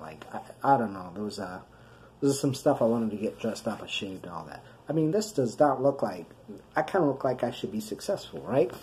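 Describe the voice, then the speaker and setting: Talking very fast with an American accent, a man at medium pitch shows vocal fry, very wide pitch swings and big swings in loudness. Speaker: video blogger with chronic illness. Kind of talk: personal video diary. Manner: halting.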